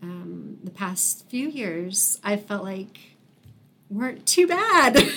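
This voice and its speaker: With an American accent, the speaker talks at a very slow pace, the loudness swings widely, and there is noticeable background noise. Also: woman. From Wichita, Kansas. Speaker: artist. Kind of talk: casual interview.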